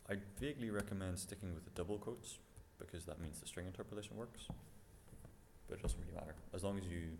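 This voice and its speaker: Audible room echo surrounds a man's very deep, somewhat breathy voice as he talks at a very fast pace broken by long, frequent pauses. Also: ordinary pitch variation. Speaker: programming instructor. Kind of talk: lecture.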